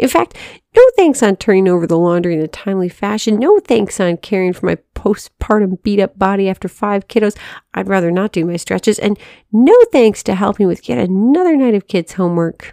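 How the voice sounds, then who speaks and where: A woman's dark, mellow voice at medium pitch with ordinary pitch variation, dry and close with no echo, on a very clean recording with a silent background. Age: 30s. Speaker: devotional writer and editor. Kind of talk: reading aloud.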